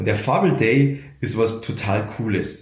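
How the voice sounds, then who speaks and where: A somewhat breathy man talks very slowly with a Bavarian accent, and audible room echo surrounds his voice. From Lower Bavaria, Germany. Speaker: radio comedian and motivational speaker. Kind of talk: interview conversation. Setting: office.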